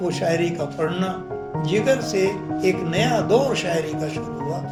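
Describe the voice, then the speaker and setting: A man talks at a high pitch. Music plays in the background. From India. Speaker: poet. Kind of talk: interview answer.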